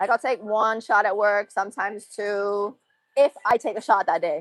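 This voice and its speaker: A woman talks at a fairly slow pace and a medium pitch, with ordinary pitch variation. Music plays in the background, and the sound is dry and close with no echo. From Massachusetts. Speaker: livestreamer. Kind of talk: casual chat.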